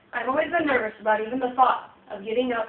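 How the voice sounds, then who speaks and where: A woman talks at a fairly quick pace. Noticeable background noise runs under her voice. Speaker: college student and Navy veteran. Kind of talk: class speech. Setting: small audience. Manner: loud.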